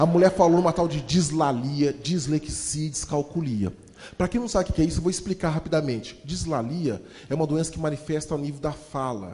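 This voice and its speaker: Animated in tone, a man speaks at a fairly quick pace and fairly high pitch, with ordinary pitch variation. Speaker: motivational speaker and storyteller. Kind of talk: motivational talk with storytelling. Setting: stage with audience. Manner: fast.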